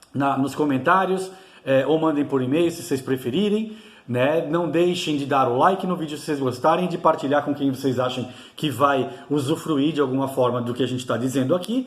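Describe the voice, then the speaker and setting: Amid audible room echo and noticeable background noise, a man speaks at a moderate pace with a fairly high pitch. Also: ordinary pitch variation. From Brazil, São Paulo. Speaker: YouTuber teaching Celtic spirituality. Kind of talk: informal video lecture. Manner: halting, many fillers and restarts.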